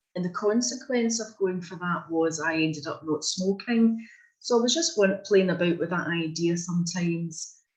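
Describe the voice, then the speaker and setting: This speaker has a Scottish accent and a moderate pace. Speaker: workshop participant. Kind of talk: group discussion.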